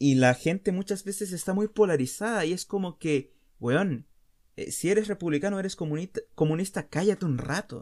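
This man has a high-pitched voice with ordinary pitch variation. He moves at a moderate pace. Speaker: podcast host. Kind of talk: casual monologue.

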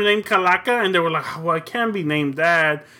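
Intonation stays fairly even as a man talks at a moderate speed. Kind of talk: wrestling promo. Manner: boastful, fired-up, swaggering, with Spanish phrases.

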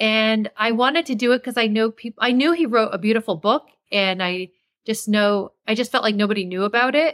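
A woman with a plain, everyday voice talks at a fairly quick pace with ordinary pitch variation, in a dry, close sound with no echo. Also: fairly high pitch for a woman. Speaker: daughter who made the viral video. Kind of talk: interview. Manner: casual, filler words.

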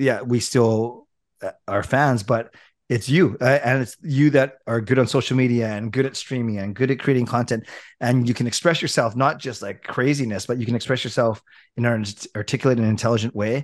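With a western Canadian accent, the speaker moves at a fairly quick pace with fairly even intonation on a very clean recording with a silent background. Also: man, medium pitch for a man. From Richmond, British Columbia, Canada. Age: 40s. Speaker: hockey YouTuber. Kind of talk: casual chat.

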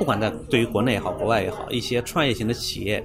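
Music can be heard behind the speaker. He is a man talking at a very fast pace. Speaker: tech startup co-founder. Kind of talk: casual interview. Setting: cafe.

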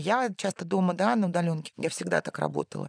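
With vocal fry and a fairly low pitch, a woman speaks with ordinary pitch variation in a dry, close, echo-free recording that is very clean with a silent background. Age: 40s. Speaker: journalist and university lecturer, mother of three. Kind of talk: casual chat.

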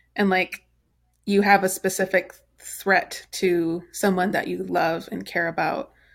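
Speaking at a fairly slow pace, a woman uses vocal fry and a monotone, flat intonation on a very clean recording with a silent background. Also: medium pitch for a woman. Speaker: podcast host. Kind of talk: casual chat. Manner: chatty, fills with 'like'.

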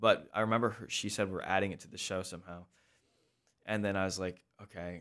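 A man with an American accent speaks in a very deep, low voice at a fairly quick pace, his intonation monotone and flat. His loudness swings a lot, and the recording is very clean with a silent background. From US Midwest, Sioux Falls, South Dakota. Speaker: musical theatre actor. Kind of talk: interview. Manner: halting.

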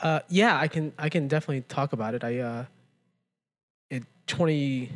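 The pitch of a man's fairly high voice varies in an ordinary way. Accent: General American. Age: 30s. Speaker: podcast co-host. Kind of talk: casual chat.

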